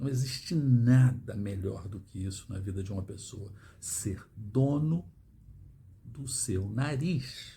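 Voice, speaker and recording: In a room with audible echo, a man talks at a very slow pace in a somewhat breathy voice with a dark, mellow tone, medium pitch, and lively intonation. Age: 60s. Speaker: financial education youtuber. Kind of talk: monologue to camera. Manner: emphatic.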